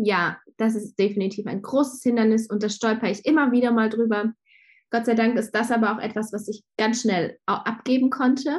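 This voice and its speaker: At a moderate pace, a woman speaks in a somewhat breathy, fairly high voice with fairly even intonation. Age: 30s. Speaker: graphic designer and shop owner. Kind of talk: casual interview. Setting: video call.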